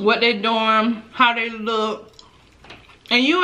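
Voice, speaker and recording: Speaking at a fairly slow pace, a woman is heard. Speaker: eating vlogger. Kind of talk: casual vlog chat. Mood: venting, opinionated. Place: home room.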